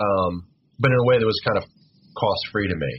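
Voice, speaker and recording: With noticeable vocal fry, a man talks at a fairly quick pace. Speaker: podcast guest, former phone phreaker. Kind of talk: casual chat. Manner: halting, with filler words.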